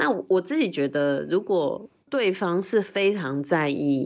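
Ordinary pitch variation marks a woman's voice in a very clean recording with a silent background. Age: 40s. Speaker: LGBTQ rights activist. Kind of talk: interview conversation.

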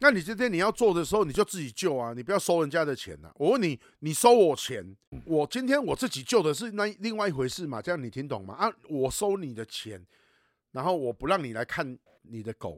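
A man speaks at a fairly quick pace with a fairly high pitch, very wide pitch swings and big swings in loudness. The recording is very clean with a silent background, dry and close with no echo. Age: 40s. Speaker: podcast host and animal rescue advocate. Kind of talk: casual chat. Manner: animated, heated.

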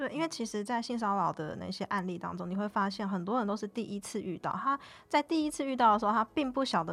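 A woman's normal speaking voice, medium in pitch, with lively intonation and a fairly quick pace. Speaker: union organizer. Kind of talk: casual interview.

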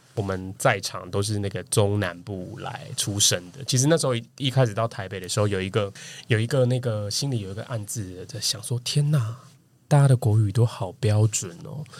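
Somewhat breathy male voice at a moderate pace, big swings in loudness, very clean recording with a silent background. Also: fairly low pitch for a man, ordinary pitch variation. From Taiwan, Kaohsiung. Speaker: marketing professional. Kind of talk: casual chat.

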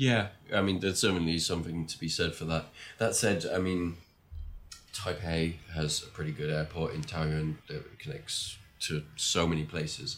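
A man with an English accent, very deep and low in pitch, with ordinary pitch variation and a moderate pace. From England. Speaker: long-term world traveller. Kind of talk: casual interview chat.

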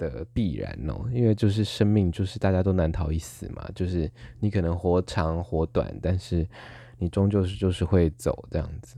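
Moderately paced, a man speaks with a very deep, low pitch, a dark, mellow tone and ordinary pitch variation. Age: 20s. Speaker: podcast host. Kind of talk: casual solo monologue.

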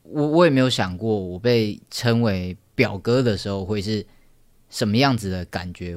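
On a very clean recording with a silent background, a man speaks at a moderate pace. His pitch is fairly low, with ordinary variation. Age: 20s. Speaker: podcast host. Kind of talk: personal storytelling monologue. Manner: halting.

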